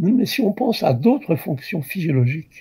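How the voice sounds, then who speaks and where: A man at a fairly slow pace, his pitch swinging very widely. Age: 80s+. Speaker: obstetrician. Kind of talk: interview answer. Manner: slow, digressive.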